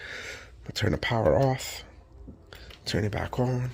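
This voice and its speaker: A soft-spoken man with a medium pitch and some vocal fry. He talks at a fairly slow pace. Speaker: electronics repair youtuber. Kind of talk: tutorial. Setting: home workshop at night. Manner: casual.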